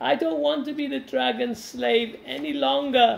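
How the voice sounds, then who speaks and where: A man puts on a character voice with a high pitch. His pitch swings very widely as he talks at a moderate pace. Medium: read story.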